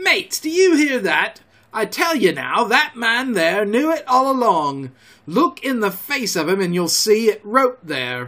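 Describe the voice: Using a put-on character voice, a man speaks at a fairly slow pace with a high pitch, a bright, sharp tone and big pitch swings.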